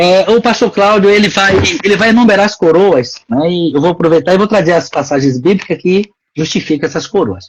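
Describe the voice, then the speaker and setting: This man has a high pitch and lively intonation. He talks at a fairly quick pace. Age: 60s. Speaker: pastor. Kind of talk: religious talk show discussion.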